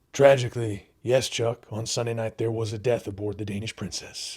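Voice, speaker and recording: A raspy, put-on character voice from a man, medium in pitch and flat in intonation, at a moderate pace, on a very clean recording with a silent background. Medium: comedy sketch. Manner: folksy, leering, repeats 'you know what I'm saying'.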